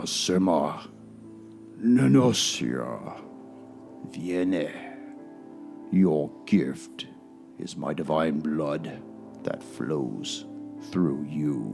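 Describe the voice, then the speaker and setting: A man speaks in a put-on character voice at a very slow pace. Clear music plays in the background. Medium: actual play. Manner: imperious, commanding.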